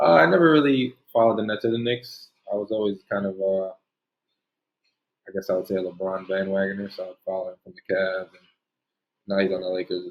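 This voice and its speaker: A man with a fairly low pitch talks at a fairly quick pace. His loudness swings widely, broken by long, frequent pauses. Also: ordinary pitch variation. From New Jersey. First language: Spanish. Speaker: basketball player. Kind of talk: interview. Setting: video call.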